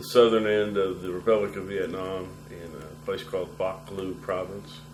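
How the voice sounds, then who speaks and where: Over noticeable background noise, a man with an American accent and a very deep, low voice talks at a moderate pace with fairly even intonation and big swings in loudness. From US Midwest, Nebraska (Lincoln). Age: 60s. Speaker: war veteran. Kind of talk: oral history interview.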